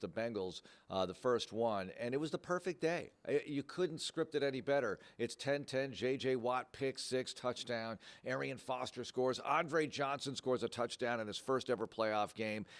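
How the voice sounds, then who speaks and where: A man's unremarkable speaking voice, medium-pitched, with lively intonation at a moderate pace. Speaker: radio play-by-play announcer for a pro football team. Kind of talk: interview answer.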